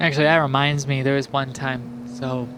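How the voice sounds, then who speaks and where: Noticeable background noise sits behind a man speaking with an American accent at a fairly high pitch. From New York State, US. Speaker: gaming commentator, also assistant language teacher. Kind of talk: casual gameplay commentary. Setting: voiceover recorded in post. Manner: halting, many fillers.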